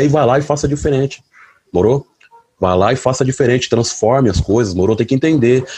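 At a fairly quick pace, a man of medium pitch speaks with very even loudness. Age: 30s. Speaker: delivery motorcycle courier and activist. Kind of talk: panel talk. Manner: colloquial, halting with repetitions.

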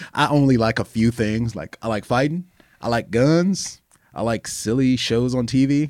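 A man with an American accent talks at a moderate pace in a medium pitch with ordinary pitch variation. It is a plain, everyday voice, with a dry, close sound and no echo. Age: 40s. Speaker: professional fighter. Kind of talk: casual chat.

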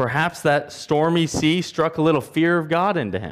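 Over a very clean, silent background, a man speaks at a moderate pace in a fairly high pitch. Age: 30s. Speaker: church elder preaching. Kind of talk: expository sermon retelling the Jonah narrative verse by verse. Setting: church service. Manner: rhythmic, repetitive storytelling cadence with dramatic contrasts; engaging, posing rhetorical questions to the congregation.

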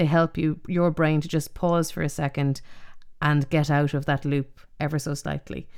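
A woman speaks with an Irish accent and a very deep, low pitch. Her intonation stays fairly even. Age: 40s. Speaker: podcast host. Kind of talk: casual chat. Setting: remote recording.

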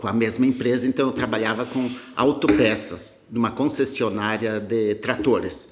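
In a normal speaking voice, a man talks with fairly even intonation. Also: medium pitch for a man, moderate pace. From Rio Grande do Sul, Brazil. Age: 50s. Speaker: agribusiness founder. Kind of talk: interview.

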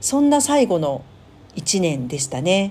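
A woman speaks at a fairly slow pace in a dark, mellow tone. Her pitch swings very widely. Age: 40s. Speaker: podcast host. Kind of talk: personal monologue.

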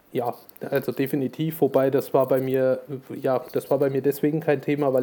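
At a moderate pace, a man with a dark, mellow tone and medium pitch speaks in monotone, flat intonation. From Thuringia, Germany. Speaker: wedding photographer. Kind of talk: casual chat. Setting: remote recording from in-laws' empty apartment.

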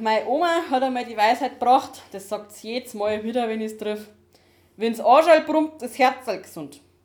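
A woman talks at a moderate pace with a high pitch, ordinary pitch variation and big swings in loudness. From Upper Bavaria, Dachau hinterland. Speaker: podcast co-host. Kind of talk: casual chat. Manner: quiet. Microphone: laptop recording, levels too quiet.

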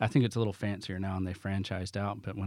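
On a very clean recording with a silent background, a man with a Southern US accent speaks at a fairly low pitch with fairly even intonation. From US South. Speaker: business owner. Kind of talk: casual interview.

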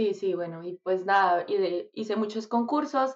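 In a Bogotá Colombian accent, a woman speaks at a fairly slow pace. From Colombia, Bogotá. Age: 20s. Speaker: singer. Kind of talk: casual interview.

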